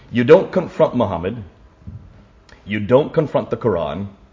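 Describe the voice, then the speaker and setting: Audible room echo around a man's voice at medium pitch. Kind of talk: lecture. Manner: fast.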